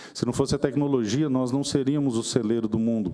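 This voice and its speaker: At a moderate pace, a man talks in a medium pitch. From Mato Grosso do Sul, Brazil (Dourados). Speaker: politician. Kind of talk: formal speech at a seminar. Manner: formal, measured.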